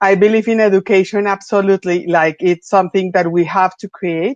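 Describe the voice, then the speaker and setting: A woman at medium pitch, fairly quick in pace with fairly even intonation, the sound dry and close with no echo. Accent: Spanish. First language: Spanish. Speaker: venture capital investor. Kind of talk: panel discussion.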